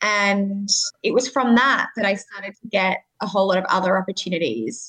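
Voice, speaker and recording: A woman's medium-pitched voice with an Australian accent, at a moderate pace. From Sydney, Australia. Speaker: communications manager at a nonprofit. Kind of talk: interview.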